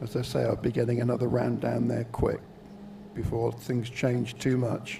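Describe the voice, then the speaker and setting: Over noticeable background noise, a man with a Welsh accent keeps a moderate pace and very even loudness. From Wales. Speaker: shooting event commentator. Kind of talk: live commentary.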